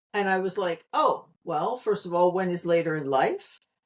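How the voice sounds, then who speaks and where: A woman's normal speaking voice at medium pitch, fairly slow in pace, with lively intonation. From US, Pennsylvania. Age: 60s. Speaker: communication consultant. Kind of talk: podcast interview.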